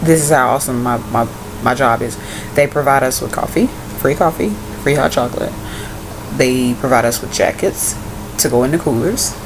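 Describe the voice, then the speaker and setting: Over noticeable background noise, a woman with a very deep, low pitch talks at a fairly quick pace, with ordinary pitch variation and long, frequent pauses. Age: 20s. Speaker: vlogger and college student. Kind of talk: casual vlog.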